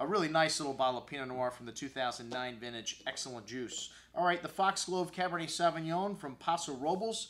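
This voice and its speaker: Lively intonation runs through this man's speech. He talks very fast. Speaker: wine shop host. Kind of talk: wine tasting commentary. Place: studio.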